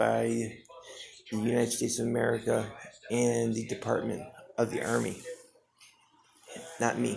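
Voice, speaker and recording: A man talks fairly slowly, and echo from the room is audible. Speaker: homeless man on skid row vlogging. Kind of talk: personal video monologue. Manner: halting, repeated words.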